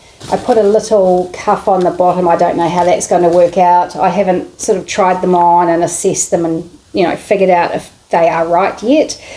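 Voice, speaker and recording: A woman's fairly low voice in a monotone, flat intonation, hardly any pauses, and noticeable background noise. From New Zealand. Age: middle-aged. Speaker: sewing vlogger. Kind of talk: casual vlog chat.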